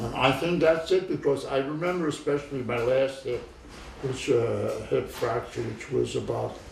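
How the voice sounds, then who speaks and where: A man talks at a moderate pace, and noticeable background noise is present. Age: 80s+. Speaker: retired physician. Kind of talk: interview answer. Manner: halting, hesitant.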